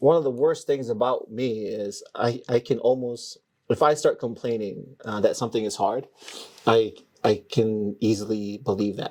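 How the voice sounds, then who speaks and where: A man speaks at medium pitch and a moderate pace. His intonation stays fairly even. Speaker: chef and restaurant owner. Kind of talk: casual chat. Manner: halting.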